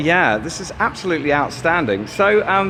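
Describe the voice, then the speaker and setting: A man speaks at a moderate pace in a fairly high voice. His pitch swings very widely, with noticeable background noise behind him. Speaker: comedian, documentary maker. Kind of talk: on-location interview questions.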